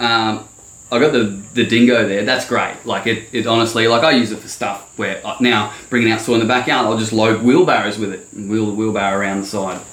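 With an Australian accent, a man speaks at a fairly quick pace in a medium pitch, his intonation fairly even, and audible room echo surrounds him. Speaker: landscaping business owner. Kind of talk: casual chat.

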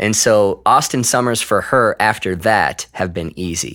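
The recording is very clean, with a silent background. A man speaks fairly slowly in a bright, sharp tone with ordinary pitch variation. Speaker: pastor. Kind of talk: casual interview chat. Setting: church campus room.

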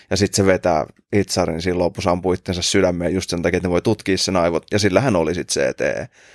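Very deep and low in pitch, a man speaks at a very fast pace in a monotone, flat intonation, on a very clean, dry and close recording with a silent background and no echo. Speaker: podcast host. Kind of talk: casual chat.

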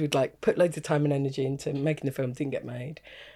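A woman speaks with a southern English accent in a dark, mellow tone. The recording is very clean with a silent background. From Kent, England. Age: 40s. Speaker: stand-up comedian. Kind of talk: casual chat.

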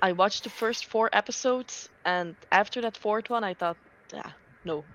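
At a moderate pace, a woman with a medium pitch and lively intonation uses an ordinary speaking voice. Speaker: book reader. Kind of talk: casual chat. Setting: video call.

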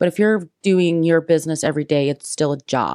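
A woman with a very deep, low voice and a Midwestern US accent is heard dry and close, with no echo, in a very clean recording with a silent background. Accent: US Midwest. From Indiana, US Midwest. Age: 20s. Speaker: real estate agent. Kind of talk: interview.

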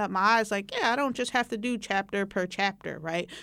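Speaking at a very fast pace with an American accent, a woman uses a medium pitch in a very clean recording with a silent background. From West Philadelphia. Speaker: community college instructor. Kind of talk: oral history interview.

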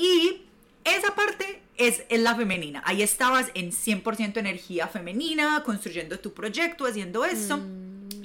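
With noticeable background noise behind her, a woman speaks at a fairly slow pace in a fairly high pitch that swings very widely. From Colombia, Medellín. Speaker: sensuality and self-love coach. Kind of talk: casual interview chat.

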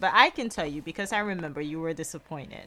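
In an American accent, a woman speaks with a bright, sharp tone on a very clean recording with a silent background. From Guyana. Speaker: podcast host, mother. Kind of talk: casual conversation with prayer.

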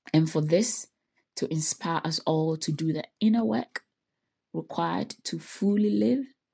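On a very clean recording with a silent background, a woman speaks fairly slowly in a very deep, low pitch with very wide pitch swings, a somewhat breathy, dark, mellow tone and long, frequent pauses. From Ghana. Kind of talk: solo reflective monologue.

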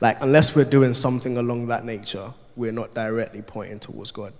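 A man speaks at a moderate pace in a medium pitch, his intonation flat and monotone. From Ghana. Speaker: youth work apprentice preacher. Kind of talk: sermon. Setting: church.

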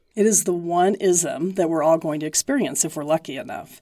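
Her dark, mellow tone sits at a fairly low pitch, and this woman uses ordinary pitch variation. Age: 60s. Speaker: professor. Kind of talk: interview.

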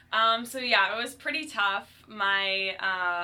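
Over noticeable background noise, a woman with an American accent speaks at a medium pitch. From Ohio, US Midwest (Cleveland). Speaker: fitness instructor. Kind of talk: casual interview.

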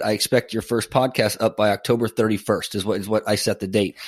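The very clean recording, with a silent background, captures a man with an American accent. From Northern California. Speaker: podcast host. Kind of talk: interview conversation.

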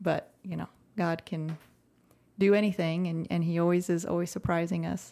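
Speaking with an American accent, a woman uses a fairly low pitch, a dark, mellow tone and monotone, flat intonation. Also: moderate pace. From Central Texas. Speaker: podcast co-host, ministry founder. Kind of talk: casual chat.

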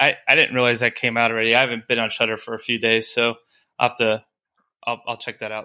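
Talking at a very fast pace, a man holds a medium pitch in a flat monotone. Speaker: podcast co-host. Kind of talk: casual banter about horror movies. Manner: joking, rambling.

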